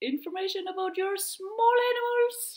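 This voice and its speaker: A woman speaks with an Icelandic accent. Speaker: knitting podcaster and veterinarian. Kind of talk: casual chat. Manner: chatty, hesitant with fillers.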